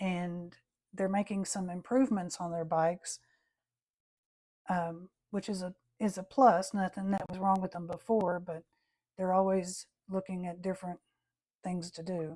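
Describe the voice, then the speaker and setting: Over a very clean recording with a silent background, the voice has a dark, mellow tone and fairly even intonation, moving at a moderate pace with long, frequent pauses. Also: woman, medium pitch for a woman. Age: 60s. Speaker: watercolor artist. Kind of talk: tutorial. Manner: casual, chatty.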